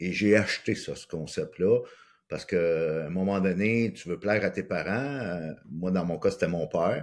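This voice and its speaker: A man with a Quebec accent and a very deep, low pitch, at a fairly slow pace, on a very clean recording with a silent background. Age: 60s. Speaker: life coach and speaker. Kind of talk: personal testimony in interview.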